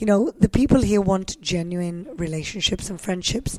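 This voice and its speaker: Against noticeable background noise, a woman talks at medium pitch and a moderate pace with ordinary pitch variation. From Gibraltar. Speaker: politician. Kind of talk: casual chat. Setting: hotel room.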